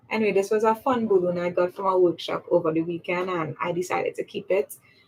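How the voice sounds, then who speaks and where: A woman with a Trinidadian accent speaks at a very fast pace in a medium pitch. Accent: Trinidadian accent, still intact. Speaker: public speaking coach. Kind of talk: livestream talk. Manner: animated.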